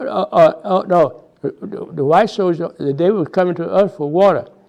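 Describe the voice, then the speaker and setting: Speaking at a fairly slow pace, a man with a high pitch and an American accent shows ordinary pitch variation. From Houston, Texas. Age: 90s. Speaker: WWII veteran. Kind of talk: oral history interview answer. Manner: hesitant, repeats words.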